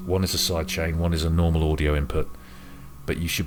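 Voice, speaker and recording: Very fast and quiet, a man with a very deep, low pitch speaks in a monotone, flat way over noticeable background noise. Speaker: music hobbyist YouTuber. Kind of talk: tutorial. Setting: home room at night. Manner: halting.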